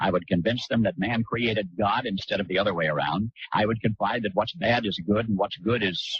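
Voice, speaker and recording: With a plain, everyday voice, a man of fairly low pitch talks at a moderate pace, using ordinary pitch variation and very even loudness. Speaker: radio broadcaster. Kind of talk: radio commentary.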